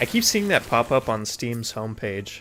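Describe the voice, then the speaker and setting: Noticeable background noise sits behind a man speaking at a moderate pace, his medium pitch held in fairly even intonation. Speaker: streamer playing video games. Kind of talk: casual live stream commentary. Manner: sometimes quiet, self-muted.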